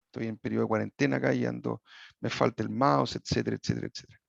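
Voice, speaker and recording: In a dry, close recording with no echo and a quiet background, a man talks at a very fast pace. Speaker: equine sports medicine veterinarian. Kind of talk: lecture. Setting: video call. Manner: hesitant, with many fillers and restarts.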